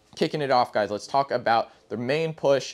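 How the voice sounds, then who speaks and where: Pitch rises and falls in an ordinary way as a man talks. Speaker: presenter. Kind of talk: tutorial. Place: shop. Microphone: lapel.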